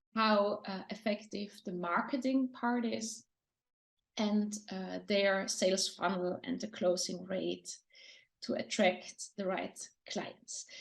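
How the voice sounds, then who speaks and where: Speaking very slowly with a German accent, a woman uses a somewhat breathy, medium-pitched voice and fairly even intonation. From Austria. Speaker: lecturer and design consultant. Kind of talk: interview.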